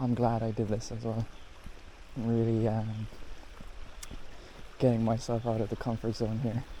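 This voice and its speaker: A man mumbles at a moderate pace with long, frequent pauses, his medium-pitched voice dark and mellow and his intonation monotone and flat. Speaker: photography vlogger. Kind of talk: casual POV vlog narration. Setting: outdoors in a national park. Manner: mumbling under breath.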